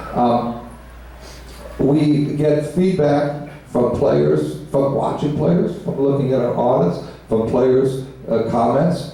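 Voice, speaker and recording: Very slowly, a man speaks at a fairly high pitch amid noticeable background noise and audible room echo. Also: ordinary pitch variation, very even loudness. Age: 70s. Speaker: pinball company executive. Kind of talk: panel Q&A. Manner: halting, many fillers and repetitions.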